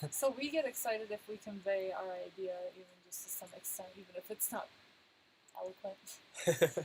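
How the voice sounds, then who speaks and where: A soft-spoken woman with a medium pitch and lively intonation sounds somewhat breathy. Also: moderate pace, big swings in loudness. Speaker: travel vlogger. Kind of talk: live stream chat.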